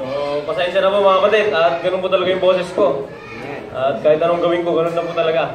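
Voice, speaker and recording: Talking at a very fast pace, a man with a high pitch keeps his intonation fairly even, with audible room echo and noticeable background noise. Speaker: preacher. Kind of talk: sermon.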